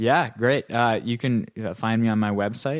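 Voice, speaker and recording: On a very clean recording with a silent background, a man with an American accent speaks fairly slowly in a fairly low voice with ordinary pitch variation. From US Midwest, North Dakota. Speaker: trombonist. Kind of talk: interview. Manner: halting, many fillers and repeats.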